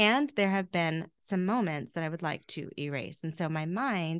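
A woman with an unremarkable speaking voice, fairly low in pitch, at a fairly slow pace with lively intonation over a quiet background. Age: 40s. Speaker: mindset coach. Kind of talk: interview.

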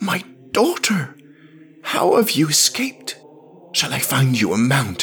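In a put-on character voice, a man speaks slowly with very wide pitch swings, vocal fry and a husky, rough edge. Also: medium pitch for a man, fairly bright tone.

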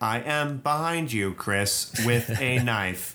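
In a put-on, robotic character voice, a man speaks at a very slow pace with a medium pitch. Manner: robot monotone; flat, unthreatening.

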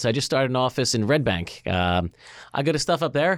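A man with an American accent, a medium pitch and lively intonation, in a very clean recording with a silent background. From Philadelphia. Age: 40s. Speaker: tech company CEO. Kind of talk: casual interview.

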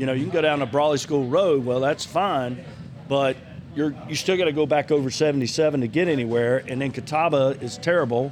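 Over noticeable background noise, a man with a Southern US accent talks at a fairly quick pace with fairly high pitch and ordinary pitch variation. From North Carolina, Gaston County area. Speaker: mayor and bar owner. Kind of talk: casual chat. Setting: bar/restaurant venue.

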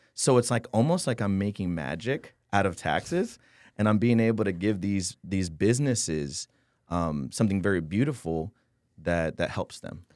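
On a very clean recording with a silent background, a man with an American accent talks at a moderate pace in an unremarkable speaking voice, fairly low in pitch with lively intonation. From San Antonio, Texas. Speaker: tax optimization consultant. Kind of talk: casual interview.

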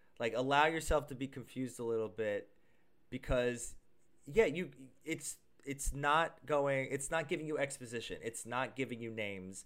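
A man speaks at a moderate pace in an unremarkable speaking voice, medium-pitched with ordinary pitch variation, on a very clean recording with a silent background. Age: 30s. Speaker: podcast co-host. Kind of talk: casual chat.

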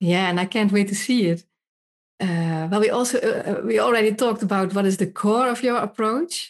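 Speaking with a Dutch accent, a woman keeps a medium pitch, moderate pace, ordinary pitch variation and very even loudness. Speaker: podcast host and urban redevelopment speaker. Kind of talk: interview, podcast intro.

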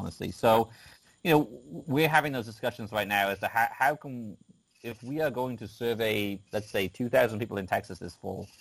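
With an English accent, a man speaks at a moderate pace and a medium pitch. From rural England, UK. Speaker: craft beer data analyst. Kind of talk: casual interview chat.

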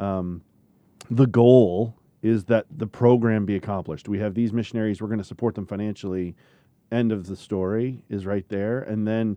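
The man has an ordinary speaking voice, fairly low in pitch, with fairly even intonation at a moderate pace. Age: 40s. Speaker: podcast host, Bible camp ministry leader. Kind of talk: casual discussion. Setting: studio.

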